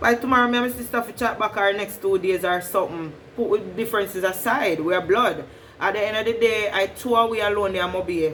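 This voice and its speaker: A woman talks at a very fast pace in a medium pitch with ordinary pitch variation. Noticeable background noise runs under her voice. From Jamaica, Westmoreland. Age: 20s. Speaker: vlogger. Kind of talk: casual storytime vlog.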